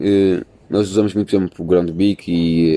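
A man's voice sits very deep and low, with a dark, mellow tone. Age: 20s. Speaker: university student podcaster. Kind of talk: casual chat. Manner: animated.

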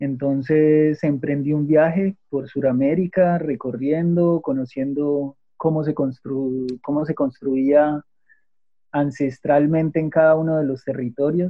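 Delivery is very slow. The intonation holds fairly even. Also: man, fairly high pitch for a man. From Colombia, Manizales (Caldas). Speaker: architect, natural building entrepreneur. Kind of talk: interview.

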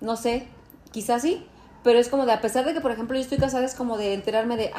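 Pitch variation is ordinary. The delivery is very fast. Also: woman. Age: 40s. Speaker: podcast co-host. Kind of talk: casual chat. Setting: dinner at a friend's home.

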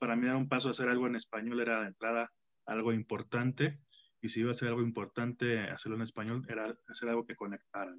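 Very fast speech from a man at medium pitch, monotone and flat, with a dry, close sound and no echo. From Mexico, Tampico. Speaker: rock musician. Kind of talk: interview.

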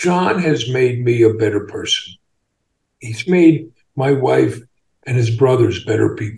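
This man has a medium pitch and an American accent, speaking at a fairly slow pace. His voice is somewhat breathy, with lively intonation. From US Northeast, Long Island. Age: 60s. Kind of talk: interview. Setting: video call.

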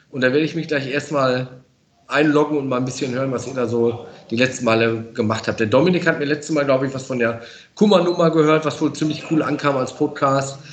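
A man talks in a plain, everyday voice with fairly even intonation. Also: fairly high pitch for a man, fairly quick pace. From Münsterland, western Germany. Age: 40s. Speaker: professional firefighter. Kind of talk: casual interview. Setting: fire station.

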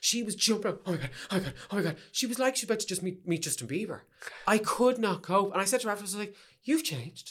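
Talking at a very fast pace, a man with a Dublin accent uses a high pitch and lively intonation. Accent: Dublin Irish. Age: 30s. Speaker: drag performer and choreographer. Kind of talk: casual chat. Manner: animated.

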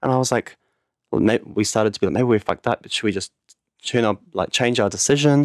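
A man with a New Zealand accent speaks at a very fast pace in a very clean recording with a silent background and a dry, close sound with no echo. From New Zealand, Auckland North Shore. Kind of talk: casual chat.

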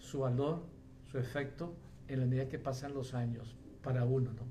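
A fairly high-pitched man at a fairly slow pace, with audible room echo and noticeable background noise. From Colombia. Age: 70s. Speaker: pastor. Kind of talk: sermon. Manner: halting.

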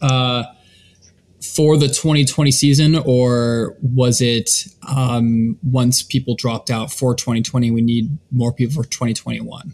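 At a very slow pace, a man speaks with a medium pitch and a somewhat breathy voice. His pitch variation is ordinary. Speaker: co-host. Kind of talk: casual podcast interview.

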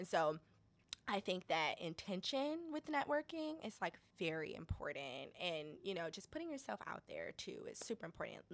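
Speaking with an American accent, a woman talks at a moderate pace. Her medium-pitched voice has very wide pitch swings. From Detroit, Michigan. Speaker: social enterprise founder and day trader. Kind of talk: interview, casual chat.

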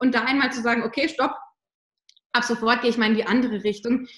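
A woman talks at a very fast pace. Her voice is high-pitched. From southern Germany. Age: 30s. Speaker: mindset and motivation coach for mothers. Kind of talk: interview.

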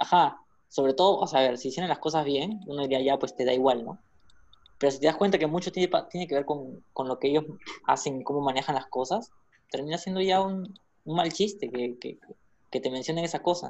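A man has a normal speaking voice, fairly high in pitch with ordinary variation. His pace is fairly quick. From Peru, Callao. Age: 20s. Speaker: podcast co-host. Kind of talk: casual chat.

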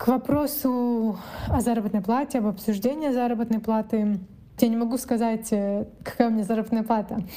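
In a normal speaking voice, a woman talks at a moderate pace with a fairly high pitch. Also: fairly even intonation. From East Kazakhstan, near Ust-Kamenogorsk. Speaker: business development in health tech. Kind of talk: personal account monologue.

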